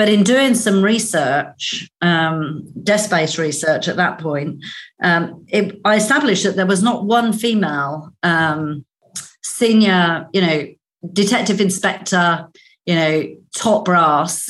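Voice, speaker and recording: A woman speaks at a very slow pace with very even loudness. Her medium pitch shows ordinary variation. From Northern Ireland. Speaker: business executive. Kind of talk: interview.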